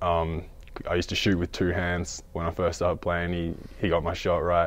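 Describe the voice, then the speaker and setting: A man's very deep, low-pitched voice against a quiet background. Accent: Australian. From Australia. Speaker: college basketball player. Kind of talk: interview.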